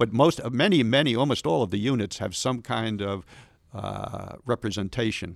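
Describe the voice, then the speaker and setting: This man has a normal speaking voice, medium pitch, ordinary pitch variation, and a moderate pace, recorded very cleanly against a silent background. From Long Island, New York. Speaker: museum special projects coordinator, aviation historian. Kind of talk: interview, storytelling about history. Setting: studio.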